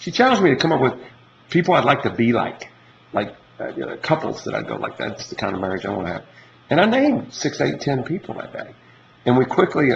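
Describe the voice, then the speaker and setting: A man talks at a very fast pace, his pitch swinging very widely. Noticeable background noise sits behind him. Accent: Southern US. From Kentucky, Louisville. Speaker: entrepreneur making a dating video. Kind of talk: casual monologue to camera. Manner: halting, many repetitions.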